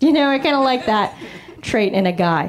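A woman speaks in a high voice. There is noticeable noise in the background. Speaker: stand-up comedian. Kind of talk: stand-up. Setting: stage with audience.

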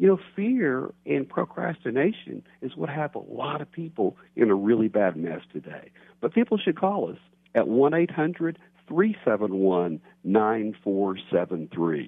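A man speaks with a Texan accent at a medium pitch. His pitch swings very widely. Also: fairly slow pace. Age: 50s. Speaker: financial advisor. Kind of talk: radio phone interview. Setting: phone call.

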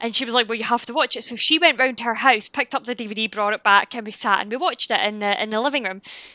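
A woman with a Scottish accent talks at a very fast pace in a fairly high pitch, with ordinary pitch variation. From Scotland. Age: 30s. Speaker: YouTuber. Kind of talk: casual chat.

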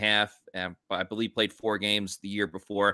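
Speaking at a moderate pace, a man with an American accent has a fairly low pitch. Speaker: sports podcast host. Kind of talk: casual sports chat.

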